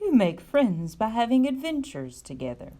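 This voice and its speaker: In a put-on character voice, a female-sounding speaker uses a fairly high pitch for a woman. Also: moderate pace. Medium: read story.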